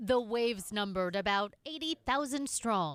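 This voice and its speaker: This is a normal speaking voice with lively intonation. The pace is fairly slow. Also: woman. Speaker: TV news reporter. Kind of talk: TV news report narration.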